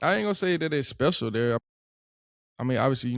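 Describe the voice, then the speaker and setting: A man speaks in a strong Georgia accent. The recording is very clean with a silent background, and the sound is dry and close with no echo. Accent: thick Georgia. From US South, Atlanta and Monroe, Georgia. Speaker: podcast guest, former college football player. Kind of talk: casual chat. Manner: clipped, words chopped in half.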